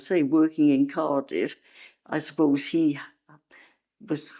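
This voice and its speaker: A woman speaks very slowly in a Welsh accent, her intonation lively. The background is quiet. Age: 80s+. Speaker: retired nurse and midwife. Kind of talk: interview answer.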